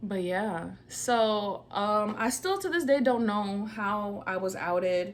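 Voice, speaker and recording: This woman has a medium pitch and speaks at a very slow pace. Her recording carries audible room echo and noticeable background noise. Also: ordinary pitch variation, hardly any pauses. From New York, partly raised in Georgia. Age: 20s. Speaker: vlogger. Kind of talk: casual personal storytelling vlog. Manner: casual, conversational.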